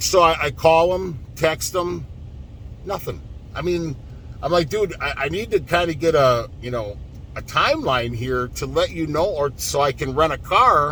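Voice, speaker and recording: A man talks fairly slowly with ordinary pitch variation, and noticeable background noise is heard behind him. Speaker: truck driver. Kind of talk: vlog rant. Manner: animated; halting.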